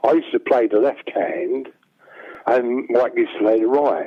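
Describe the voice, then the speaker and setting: A man speaks with a London accent. His pace is moderate. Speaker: songwriter. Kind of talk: interview.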